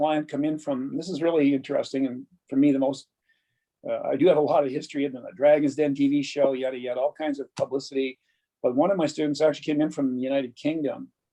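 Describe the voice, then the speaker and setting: A man with a fairly high pitch talks at a very fast pace in a dark, mellow tone, his intonation monotone and flat. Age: 70s. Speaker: glass artist and teacher. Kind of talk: interview.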